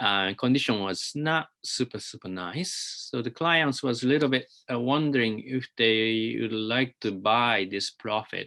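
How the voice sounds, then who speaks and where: In a Japanese accent, the speaker talks at a fairly slow pace with hardly any pauses, a bright, sharp tone and ordinary pitch variation against a quiet background. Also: man, medium pitch for a man. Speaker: architect. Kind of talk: lecture. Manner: halting, many fillers.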